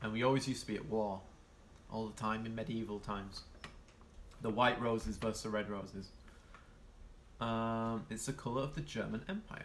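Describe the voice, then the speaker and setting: With a Yorkshire accent, a man speaks with long, frequent pauses amid audible room echo. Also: medium pitch for a man, fairly even intonation, fairly quick pace. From northern England, Yorkshire. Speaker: streamer. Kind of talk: casual live-stream chat reading viewer comments. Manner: hesitant, many fillers.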